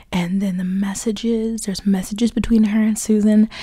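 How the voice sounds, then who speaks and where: This woman has a somewhat breathy voice at a medium pitch. She speaks at a moderate pace with fairly even intonation. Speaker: YouTuber, book commentary. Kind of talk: casual vlog commentary.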